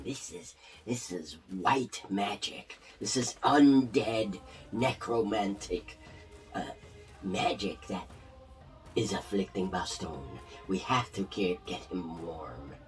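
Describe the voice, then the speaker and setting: A put-on character voice speaks at a fairly slow pace over clear background music. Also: man, fairly low pitch for a man. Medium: actual play.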